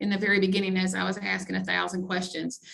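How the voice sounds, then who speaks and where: A woman with an Alabama accent, her tone bright and sharp, with audible room echo. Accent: Alabama drawl. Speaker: college grants director. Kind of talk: webinar presentation.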